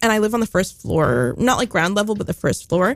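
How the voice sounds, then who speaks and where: Speaking with an American accent, the voice rises and falls in a lively way. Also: woman. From New York City (East Village). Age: 20s. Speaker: guest. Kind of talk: casual chat.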